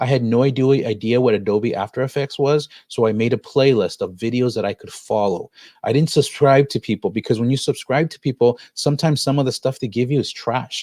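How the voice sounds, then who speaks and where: Dark and mellow in tone, a man talks at a medium pitch and a fairly quick pace with hardly any pauses. His intonation is fairly even, and the sound is dry and close with no echo. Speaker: education technology coach. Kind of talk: online workshop tutorial. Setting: live stream screen share. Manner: fast.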